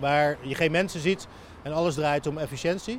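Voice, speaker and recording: Fairly even intonation from a man with a fairly high voice, at a moderate pace. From Netherlands, Rotterdam (Overschie). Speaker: writer. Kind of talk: walking interview. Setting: outdoors, walking through the city. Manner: halting.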